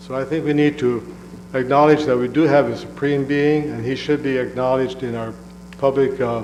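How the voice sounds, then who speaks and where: A man speaks at a fairly quick pace and a medium pitch, with fairly even intonation. Music plays in the background, and audible room echo fills the space. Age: 70s. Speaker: public commenter. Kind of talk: public comment at council meeting.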